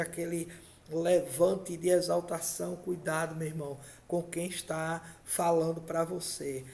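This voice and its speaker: Audible room echo surrounds a man with a high pitch who talks at a fairly slow pace in a monotone with flat intonation. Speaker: pastor. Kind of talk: sermon.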